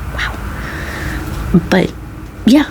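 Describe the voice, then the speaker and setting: Soft-spoken and relaxed in tone, a woman talks over noticeable background noise. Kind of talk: soft-spoken ASMR talk to camera. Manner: soft-spoken, relaxed, conversational.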